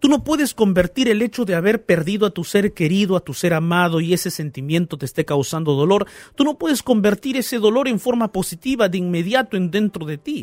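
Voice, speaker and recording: With a dry, close sound and no echo, a man speaks at a high pitch and fairly quick pace, with lively intonation and hardly any pauses. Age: 30s. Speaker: pastor and radio host. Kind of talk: radio Bible talk show. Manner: warm, animated.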